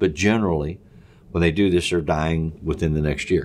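A man speaks with a very deep, low pitch and ordinary pitch variation. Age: old. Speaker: counselor and podcast co-host. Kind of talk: casual discussion. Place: studio.

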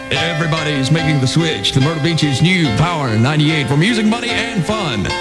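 A man talks at a fairly quick pace over loud music in the background. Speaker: radio DJ. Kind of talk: radio DJ on-air break with station promo. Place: booth.

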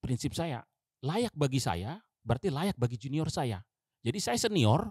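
Somewhat breathy speech moves at a moderate pace with very wide pitch swings, in a dry sound with no echo against a quiet background. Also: man. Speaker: navy diver; guest. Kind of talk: interview storytelling. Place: studio. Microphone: studio mic.

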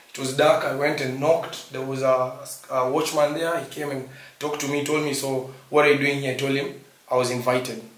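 Amid audible room echo, a man at a fairly high pitch talks at a fairly quick pace with monotone, flat intonation. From Kenya. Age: 20s. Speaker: vlogger. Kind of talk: casual chat. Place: home room.

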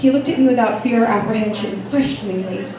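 A woman speaks at a very fast pace amid noticeable background noise and audible room echo. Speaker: open mic poet. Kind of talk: poetry reading. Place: cafe. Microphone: camera far.

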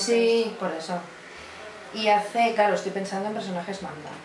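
Noticeable background noise sits under this recording. A woman speaks at a moderate pace with fairly even intonation. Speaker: voice actress. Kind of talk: interview answer. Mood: relaxed, amused, reminiscing. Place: home room.

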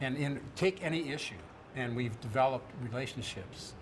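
At a moderate pace, a man talks with ordinary pitch variation over noticeable background noise. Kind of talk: interview answer. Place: hall.

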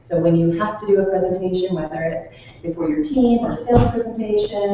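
A woman speaks at a fairly quick pace amid light background noise and strong room echo. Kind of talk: presentation to small audience. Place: meeting room. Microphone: camera far.

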